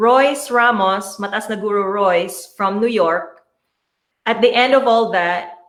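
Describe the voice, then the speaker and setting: A woman speaks with a fairly high pitch. Room echo is audible. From Philippines. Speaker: martial arts instructor. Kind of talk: interview.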